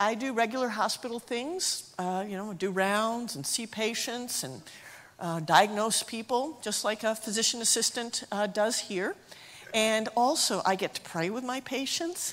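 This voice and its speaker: A normal speaking voice from a woman, fairly high in pitch, with lively intonation at a fairly slow pace. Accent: American. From US, Appalachia (northeast Tennessee area). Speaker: missionary physician assistant. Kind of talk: testimony.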